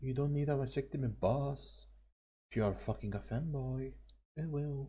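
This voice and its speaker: A soft-spoken man at a moderate pace. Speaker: vtuber streamer. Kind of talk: reaction commentary.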